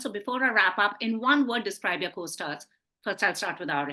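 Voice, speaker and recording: A woman's fairly high voice carries a bright, sharp tone. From India, Punjab. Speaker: film interviewer. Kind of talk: interview.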